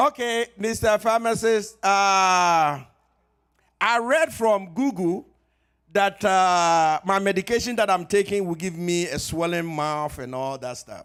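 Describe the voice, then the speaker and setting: Speaking at a very slow pace with lively intonation, a man with a high pitch is heard on a very clean recording with a silent background. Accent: Ghanaian. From Ghana. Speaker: pharmacist. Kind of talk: health talk at church. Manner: conversational.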